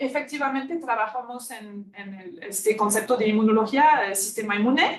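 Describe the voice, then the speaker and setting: A woman speaks with a French accent. Her intonation is lively and her pace moderate. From France. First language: French (speaking Spanish). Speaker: immunology researcher. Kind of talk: lecture. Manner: halting, with many fillers.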